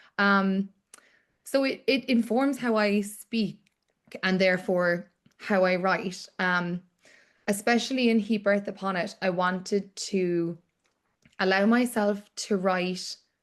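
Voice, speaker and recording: A woman with a Cork accent at medium pitch, with very even loudness and fairly even intonation, a very slow pace with long, frequent pauses, over a quiet background. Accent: Cork Irish English. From Ireland, Cork. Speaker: author. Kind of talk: book club interview.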